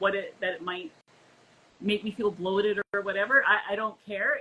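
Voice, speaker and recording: A woman is speaking at a medium pitch. Her pace is moderate. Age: 60s. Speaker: keto diet social media creator. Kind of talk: casual chat. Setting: live stream video call. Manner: halting, many repeated words.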